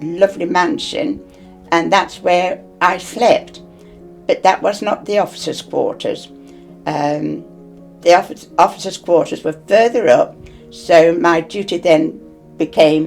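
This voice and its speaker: Over music in the background, the speaker talks at a fairly slow pace with long, frequent pauses. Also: woman. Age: 80s+. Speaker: war veteran. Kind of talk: interview answer.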